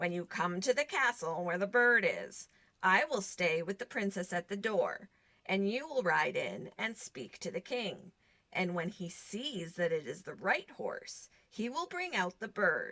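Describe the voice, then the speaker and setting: In a put-on character voice, a woman speaks at a medium pitch. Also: moderate pace. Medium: read story. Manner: calm, advising.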